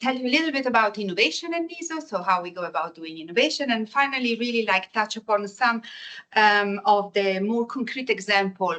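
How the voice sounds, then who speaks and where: In a strong Italian accent, a woman talks at a fairly quick pace. Her tone is bright and sharp, with lively intonation. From Italy. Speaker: energy innovation manager. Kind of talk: lecture. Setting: seminar with audience. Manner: halting, with many fillers.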